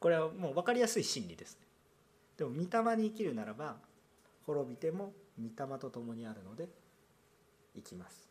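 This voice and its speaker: A man talks at a moderate pace with long, frequent pauses and a somewhat breathy voice. His pitch swings very widely and his loudness shifts a great deal. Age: 30s. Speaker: pastor. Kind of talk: sermon.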